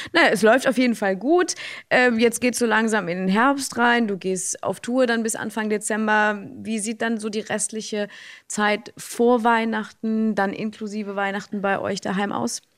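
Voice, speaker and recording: A woman speaks in a normal speaking voice, fairly high in pitch with fairly even intonation. Her pace is moderate, on a very clean recording with a silent background. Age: 30s. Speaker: radio host. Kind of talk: interview.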